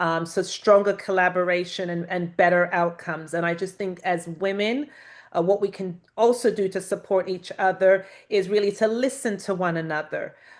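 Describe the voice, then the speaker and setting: Speaking with a British accent, a woman keeps a medium pitch and fairly even intonation. The background is quiet. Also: moderate pace. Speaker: panelist, women's leadership mentor. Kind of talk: panel discussion.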